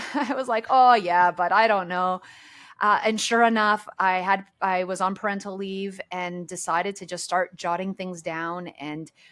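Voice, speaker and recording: A woman with a Canadian accent and an ordinary speaking voice talks at a moderate pace and medium pitch with ordinary pitch variation, on a very clean recording with a silent background. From Canada. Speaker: author. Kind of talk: podcast interview.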